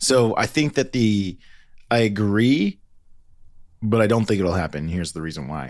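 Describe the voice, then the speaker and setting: At a fairly quick pace, a man with a normal speaking voice and lively intonation is captured in a very clean recording with a silent background. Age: 40s. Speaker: podcast host. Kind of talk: casual chat.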